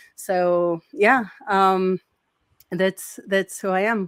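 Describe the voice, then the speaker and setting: A woman speaks at a very slow pace with a Portuguese accent. Her pitch is medium. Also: dry, close sound with no echo. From Brazil. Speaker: sales engineer. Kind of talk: interview. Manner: halting, many fillers.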